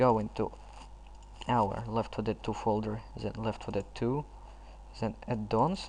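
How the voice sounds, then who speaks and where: A man speaks at a fairly slow pace in a non-native accent, with long, frequent pauses. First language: not English. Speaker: gaming tutorial youtuber. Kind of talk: tutorial. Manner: halting.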